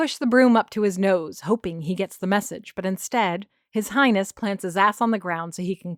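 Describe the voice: In plain reading aloud against a quiet background, the voice shows ordinary pitch variation.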